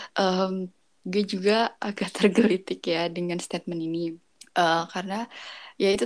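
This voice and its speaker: A woman speaks in monotone, flat intonation. The recording is very clean, with a silent background. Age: 20s. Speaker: university student. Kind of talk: casual chat.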